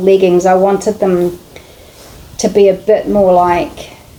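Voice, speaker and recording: Noticeable background noise runs behind this clip. The woman talks fairly slowly. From New Zealand. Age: middle-aged. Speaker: sewing vlogger. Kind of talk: casual vlog chat.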